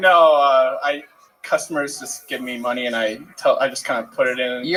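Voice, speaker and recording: Speaking in a Phoenix accent, a man has a fairly high pitch, ordinary pitch variation, a moderate pace and big swings in loudness. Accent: Phoenix, Arizona. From Phoenix, Arizona.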